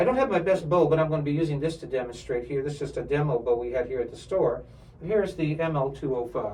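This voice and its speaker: With audible room echo, a man talks at a very fast pace, his fairly high pitch showing ordinary variation. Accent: American. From New York area. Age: 60s. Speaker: violin instructor and professional string player. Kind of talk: product demonstration. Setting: music store.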